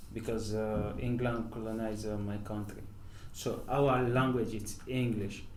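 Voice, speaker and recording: A man with a Nigerian accent speaks at a medium pitch, fairly slowly. His intonation is flat and monotone, and the room echo is audible. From northern Nigeria. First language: Hausa. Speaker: professional footballer. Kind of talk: interview. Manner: halting, many fillers.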